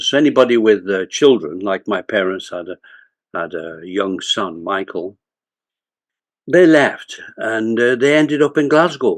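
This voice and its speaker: Against a quiet background, a man speaks fairly slowly with very wide pitch swings. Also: medium pitch for a man. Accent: Lancashire. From northern England (Bolton, Lancashire). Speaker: retired corporate executive and author. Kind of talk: interview storytelling.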